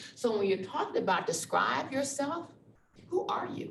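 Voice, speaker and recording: Lively intonation and an American accent come through over noticeable background noise and audible room echo. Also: woman. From Texas (Dallas). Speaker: university diversity officer. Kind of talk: presentation. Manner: animated.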